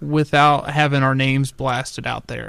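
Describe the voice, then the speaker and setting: An ordinary speaking voice from a man, fairly high in pitch, at a moderate pace on a very clean recording with a silent background. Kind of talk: casual chat.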